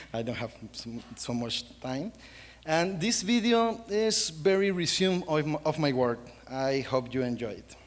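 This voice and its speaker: The speaker has a Costa Rican accent. The pitch swings very widely. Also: man, fairly high pitch for a man. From Costa Rica, central Pacific coast. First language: Spanish. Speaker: wildlife photographer. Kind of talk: panel presentation. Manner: halting.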